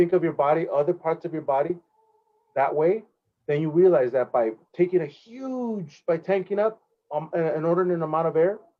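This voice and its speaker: A Californian accent at a fairly quick pace, with ordinary pitch variation. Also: man, high pitch for a man. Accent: Californian American English. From South Central Los Angeles. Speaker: jazz trumpet player. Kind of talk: interview. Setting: video call.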